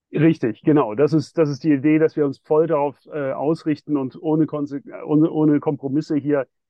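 This man talks at a moderate pace. His pitch is fairly high. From Switzerland (Geneva). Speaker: bank co-founder and sustainable investment executive. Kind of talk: interview. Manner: halting, many fillers.

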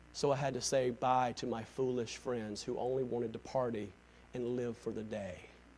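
Flat, monotone delivery at a moderate pace in a Southern US accent, with audible room echo. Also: man, medium pitch for a man. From US South. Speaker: pastor. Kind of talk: sermon; church announcements. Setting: church.

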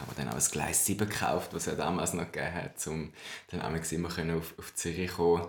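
A man speaks in a very deep, low pitch. Noticeable background noise runs under his voice. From Switzerland. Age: 20s. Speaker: drag queen and history graduate. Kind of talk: casual interview chat.

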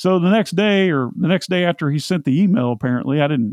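A man talks at a fairly quick pace with an American accent. His intonation is lively. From US Midwest, central Indiana. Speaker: e-commerce entrepreneur. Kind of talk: casual interview.

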